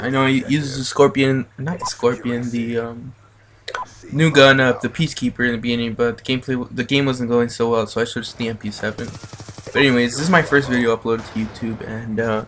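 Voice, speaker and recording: A man speaks at a fairly quick pace, his intonation fairly even and his pitch medium. Noticeable background noise runs under the recording. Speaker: video game commentator. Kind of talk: gameplay commentary talk. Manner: hesitant, many filler words.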